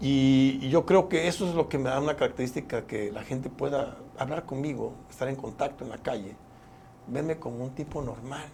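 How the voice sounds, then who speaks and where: This is a man with a normal speaking voice. He talks at a medium pitch with ordinary pitch variation. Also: moderate pace. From Mexico, Chiapas (Tuxtla Gutiérrez). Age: 60s. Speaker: politician and physician. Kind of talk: interview.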